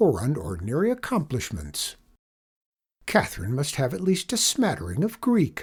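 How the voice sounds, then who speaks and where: A put-on character voice at a moderate pace, on a very clean recording with a silent background. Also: man. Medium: read story. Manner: formal, precise.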